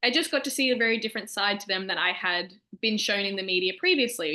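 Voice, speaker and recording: A very fast, upbeat woman with an Australian accent, fairly high in pitch, against a quiet background. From Australia, Melbourne. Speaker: shark research lab staff. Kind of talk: educational presentation to students. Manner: casual, upbeat.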